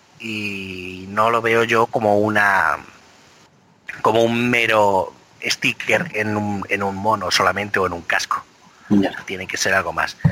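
A man's fairly low voice at a very slow pace, fairly even in intonation, over noticeable background noise. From Spain, Biscay (Basque Country). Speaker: motorsport podcast co-host. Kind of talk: casual chat.

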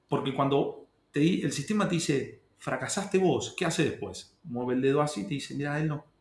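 A man with a fairly high pitch and a somewhat breathy voice talks at a moderate pace with ordinary pitch variation. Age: 30s. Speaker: secondary school history teacher. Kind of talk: casual interview conversation.

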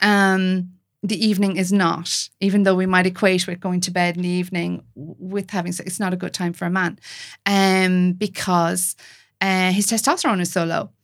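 In an Irish accent, a woman talks at medium pitch and a moderate pace, her intonation monotone and flat. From Ireland. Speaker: intimacy coach. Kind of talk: casual chat. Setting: video call.

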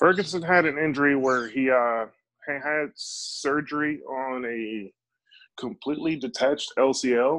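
A man with an American accent talks at a fairly slow pace in an ordinary speaking voice. His pitch variation is ordinary, and the background is quiet. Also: fairly high pitch for a man. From Chicago. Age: 30s. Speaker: professional MMA fighter. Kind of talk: podcast interview.

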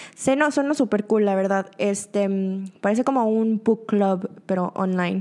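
Over noticeable background noise, a woman with a medium pitch and ordinary pitch variation speaks at a fairly slow pace, her loudness very even and her speech with hardly any pauses. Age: 20s. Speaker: podcast host. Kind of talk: casual monologue. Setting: studio.

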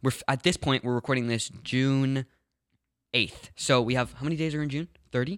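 Here a man uses a normal speaking voice at a medium pitch and fairly quick pace. His intonation is fairly even, and the sound is dry and close with no echo. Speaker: podcast co-host. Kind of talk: casual chat.

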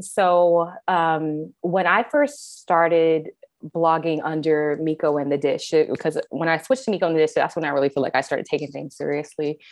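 With a plain, everyday voice and an American accent, a woman of fairly low pitch talks at a moderate pace with hardly any pauses. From US Midwest and California (Kansas City, San Diego). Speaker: food blogger and creative director. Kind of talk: casual interview chat.

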